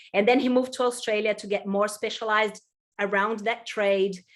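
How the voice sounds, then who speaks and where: The speaker has a Portuguese accent and flat, monotone intonation. The pace is fairly quick. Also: woman. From Brazil. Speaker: employment consultant. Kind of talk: webinar presentation.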